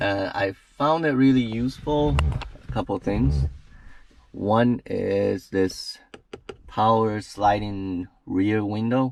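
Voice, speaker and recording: With lively intonation and a fairly low pitch, a man speaks at a very slow pace. He leaves long, frequent pauses. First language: not English. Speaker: car reviewer / truck owner. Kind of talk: product review. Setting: in a truck.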